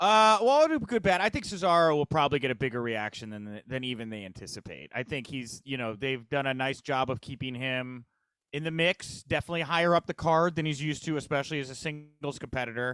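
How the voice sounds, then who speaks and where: A man's fairly high voice at a very fast clip, lively in intonation, dry and close with no echo, on a very clean recording over a silent background. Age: 30s. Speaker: wrestling news editor. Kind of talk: casual interview chat. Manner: hesitant, many fillers.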